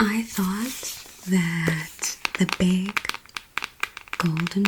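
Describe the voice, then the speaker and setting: A soft-spoken woman with a gentle tone and medium pitch, at a very slow pace, over noticeable background noise. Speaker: ASMR creator. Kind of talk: soft-spoken book reading for sleep. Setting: close-mic home recording. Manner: soft, gentle, relaxing.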